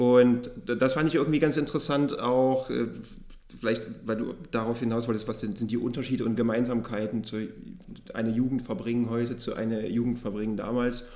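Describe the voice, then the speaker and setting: A man's dark, mellow voice at a medium pitch, fairly quick, with fairly even intonation and audible room echo. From eastern Germany. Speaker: podcast host and publishing editor. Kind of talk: book podcast interview; scripted introduction.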